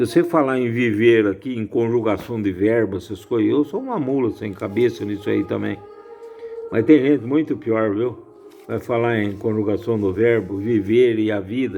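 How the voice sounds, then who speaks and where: A man talks at medium pitch and a moderate pace. Noticeable background noise is present. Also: ordinary pitch variation. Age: 70s. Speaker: lay religious commentator. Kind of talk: informal bible reflection. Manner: casual, repetitive.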